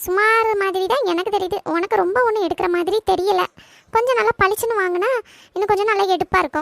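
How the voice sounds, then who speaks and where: A woman performs a cartoonish character voice at an extremely high pitch, at a moderate pace. The sound is dry and close with no echo, and her intonation is fairly even. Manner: frank, gives advice at length.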